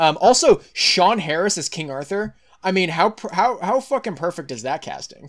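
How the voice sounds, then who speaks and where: At a moderate pace, a high-pitched man with an American accent speaks with lively intonation. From Texas. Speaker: film enthusiast podcast guest. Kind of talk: casual chat.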